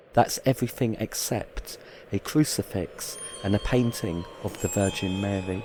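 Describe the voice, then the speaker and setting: Noticeable background noise sits behind a man talking at a moderate pace. His pitch is fairly low, with ordinary pitch variation. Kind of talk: documentary narration.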